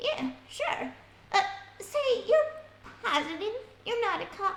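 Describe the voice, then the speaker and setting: Delivered at a fairly slow pace, this put-on character voice makes very wide pitch swings. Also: woman, extremely high pitch for a woman. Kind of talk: 1940s radio acting. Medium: audio drama. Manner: colloquial, chatty.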